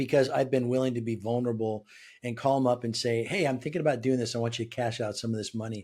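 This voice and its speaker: Talking very fast with an American accent, a man with a medium pitch and dark, mellow tone keeps his intonation fairly even. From Southern California. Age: 60s. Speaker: business leader and author. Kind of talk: interview conversation. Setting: remote call.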